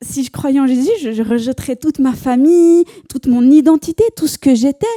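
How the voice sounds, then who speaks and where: A woman speaks with a Swiss accent. Her pitch is high. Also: big swings in loudness. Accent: Neuchâtel Swiss French. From Switzerland, Neuchâtel. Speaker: church member giving testimony. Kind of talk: testimony. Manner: hesitant, many fillers and repetitions.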